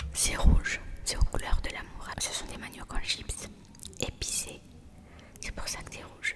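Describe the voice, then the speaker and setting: Playful whispering at a fairly slow pace, with long, frequent pauses and noticeable background noise. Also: woman, big swings in loudness. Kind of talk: ASMR roleplay, soft intimate talk to the listener. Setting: home-recorded ASMR with snacks and props. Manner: soft, friendly, playful.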